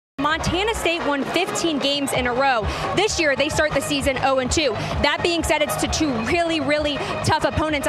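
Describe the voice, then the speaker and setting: A fairly quick pace over music in the background. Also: woman. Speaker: sports anchor and reporter. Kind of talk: TV sports news report.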